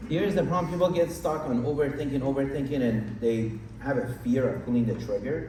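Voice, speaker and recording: Noticeable background noise and audible room echo surround a man of medium pitch. He talks at a very fast pace with lively intonation. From Iran. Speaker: real estate investor. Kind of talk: interview on stage.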